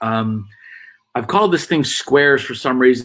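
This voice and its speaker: At a medium pitch, a man speaks with ordinary pitch variation. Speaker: business coach, live stream host. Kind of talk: live stream presentation. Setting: home desk, Facebook live broadcast. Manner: loud.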